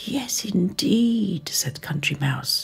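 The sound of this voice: Lively intonation in an unforced reading voice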